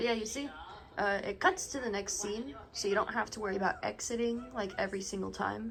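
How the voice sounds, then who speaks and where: Music in the background behind a woman's fairly high, lively voice at a fairly quick pace. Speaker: gaming YouTuber. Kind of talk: casual video commentary. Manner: animated.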